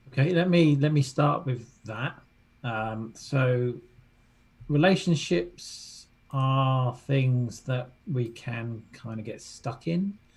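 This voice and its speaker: Very slowly, a man speaks with a British accent in a somewhat breathy voice. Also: medium pitch for a man, ordinary pitch variation. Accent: British accent, noted by host. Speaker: relationship coach. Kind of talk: interview.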